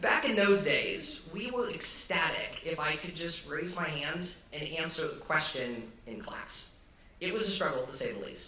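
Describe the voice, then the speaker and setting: A man with a General American accent speaks slowly-ish at a high pitch, his pitch swinging very widely. Room echo is audible and there is noticeable background noise. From US Northwest (Idaho, Montana). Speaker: student chapel speaker. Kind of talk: testimony. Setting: stage with audience.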